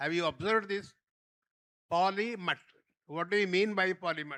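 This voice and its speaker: In a dry, close recording with no echo, a man with a high pitch and a bright, sharp tone projects a raised voice at a moderate pace with fairly even intonation. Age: 90s. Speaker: former health minister, chief guest. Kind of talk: speech at book launch. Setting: hall with audience. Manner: halting, many fillers.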